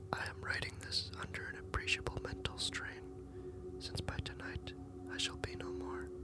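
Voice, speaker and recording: Someone whispers over noticeable background noise. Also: moderate pace. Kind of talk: whispered ASMR horror story reading. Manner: whispered.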